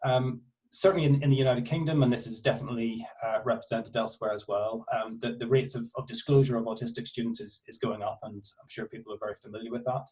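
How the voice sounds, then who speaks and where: A man talks at a very fast pace with hardly any pauses and medium pitch. His intonation is fairly even, while his loudness swings widely. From Northern Ireland. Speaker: university researcher. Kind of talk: academic presentation. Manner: halting, many fillers.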